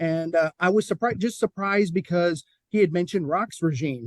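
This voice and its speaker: A man's high-pitched voice at a moderate pace, with ordinary pitch variation and a dry, close sound with no echo. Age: 50s. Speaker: podcast interviewer. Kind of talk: interview.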